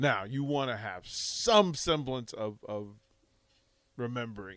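In an animated tone, a man talks at medium pitch with ordinary pitch variation. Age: 50s. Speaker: radio host, broadcasting veteran. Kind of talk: casual sports talk radio.

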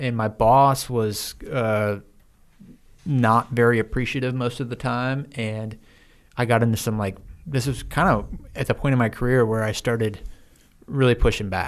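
Speaking with an American accent at a moderate pace, the voice breaks off for long, frequent pauses. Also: man. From US Midwest. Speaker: former military officer. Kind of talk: interview. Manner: animated.

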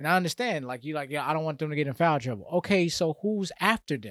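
An unremarkable speaking voice from a man with an American accent, fairly high in pitch, with ordinary pitch variation and a fairly quick pace, in a very clean recording with a silent background and a dry, close sound with no echo. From Atlanta area, US South. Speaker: sports podcast co-host. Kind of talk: casual chat.

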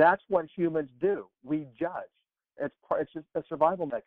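A man with an American accent speaks at a fairly slow pace in a high pitch. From Texas. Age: 50s. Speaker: personal transformation coach. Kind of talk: interview conversation.

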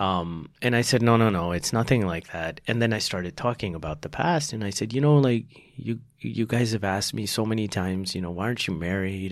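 A man talks in an American accent on a very clean recording with a silent background. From Texas. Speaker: doctor. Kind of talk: casual interview.

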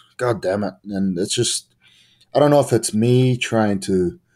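The voice has a dark, mellow tone and a New Zealand accent, moving at a moderate pace. The recording is very clean, with a silent background. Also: man. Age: 20s. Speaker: pro wrestler. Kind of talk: interview.

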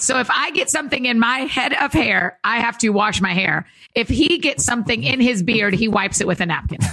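The intonation is lively and the loudness very even, with noticeable noise in the background. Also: woman, fairly high pitch for a woman, fairly quick pace. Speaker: author and speaker. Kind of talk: casual chat. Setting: studio.

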